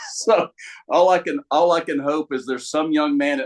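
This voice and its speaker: This man has an unremarkable speaking voice, pitched fairly high, with lively intonation at a moderate pace. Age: 60s. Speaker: life coach. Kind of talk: casual chat.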